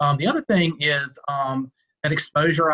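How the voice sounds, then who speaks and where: A man speaks with a Southern US accent and ordinary pitch variation. The sound is dry and close, with no echo. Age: middle-aged. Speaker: banker, alumnus. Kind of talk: panel Q&A.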